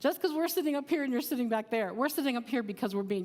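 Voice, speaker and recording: A loud woman with a high pitch and lively intonation. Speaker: psychiatric nurse and nursing professor. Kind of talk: informal seminar talk.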